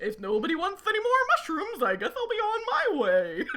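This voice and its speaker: A woman uses a put-on character voice at an extremely high pitch, with very wide pitch swings. Clear background noise sits behind her. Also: fairly quick pace. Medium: actual play. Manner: rambling, spacey.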